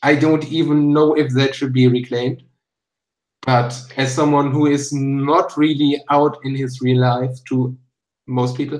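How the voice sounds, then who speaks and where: A man's fairly high voice with a German accent, monotone and flat, at a fairly slow pace. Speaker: YouTuber. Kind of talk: casual chat.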